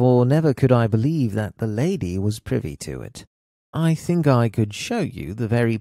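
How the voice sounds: The natural reading voice has lively intonation, with the background staying quiet.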